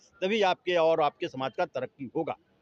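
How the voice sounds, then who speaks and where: A man's voice with very wide pitch swings. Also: dry, close sound with no echo. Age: 60s. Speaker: retired engineer, political supporter. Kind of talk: street interview.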